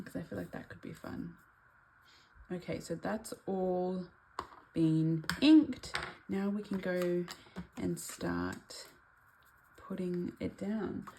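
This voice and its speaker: Soft-spoken and at a very slow pace, a woman talks with long, frequent pauses and big swings in loudness. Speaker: craft YouTuber. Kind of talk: tutorial. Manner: casual.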